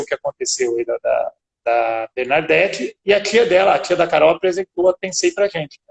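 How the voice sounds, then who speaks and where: A São Paulo accent with ordinary pitch variation in a dry, close sound with no echo. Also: man. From São Paulo, Brazil. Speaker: business owner. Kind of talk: interview.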